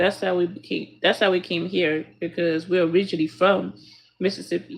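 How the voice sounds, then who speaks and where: Using vocal fry, a woman with an American accent speaks at a fairly low pitch and fairly quick pace with ordinary pitch variation. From US Midwest. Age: 30s. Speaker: streamer. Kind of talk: casual chat. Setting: live stream.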